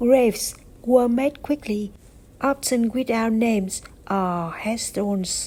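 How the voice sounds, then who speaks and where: At a very slow pace, a woman with a fairly high pitch speaks in a Vietnamese accent. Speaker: vlogger. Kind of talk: personal narration.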